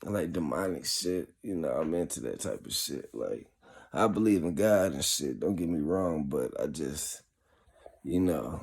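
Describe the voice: Drawling at a fairly slow pace, a man with an extremely low pitch sounds raspy, with vocal fry, a slightly mellow tone and lively intonation.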